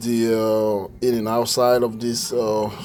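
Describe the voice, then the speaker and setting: A man speaks at a very slow pace with medium pitch and fairly even intonation. Room echo is audible. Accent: Ivorian. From Ivory Coast. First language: French. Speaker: musician demonstrating a keyboard. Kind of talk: product demo tutorial. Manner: halting, many fillers.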